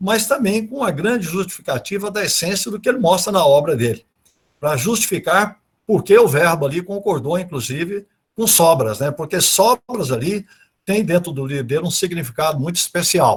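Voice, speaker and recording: The intonation is lively. The pace is moderate. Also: man, high pitch for a man. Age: 70s. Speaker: speaker on literature and Portuguese grammar. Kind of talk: online talk / lecture. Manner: hesitant, with many repetitions and fillers.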